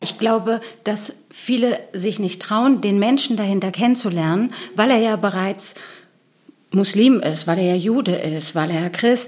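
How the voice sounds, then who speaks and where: Using a normal speaking voice, a woman talks at a fairly slow pace and medium pitch with lively intonation. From Germany, Berlin. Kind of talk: interview.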